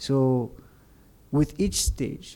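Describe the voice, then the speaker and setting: The man is soft-spoken, with a dark, mellow tone. The recording is very clean, with a silent background. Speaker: podcast guest. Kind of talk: casual chat. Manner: quiet, low volume.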